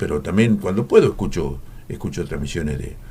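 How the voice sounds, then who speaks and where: Noticeable background noise sits under the recording. A man's voice comes through it. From Argentina, Coronel Dorrego, Buenos Aires province. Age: 80s+. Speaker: veteran radio announcer and journalist. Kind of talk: radio interview. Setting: radio studio.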